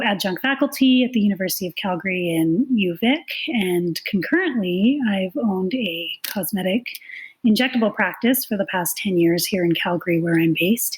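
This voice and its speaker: Noticeable background noise surrounds a woman speaking with a Canadian accent. She has a medium pitch, lively intonation and a moderate pace. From Canada. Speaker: nurse and clinical informatics consultant. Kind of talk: podcast interview.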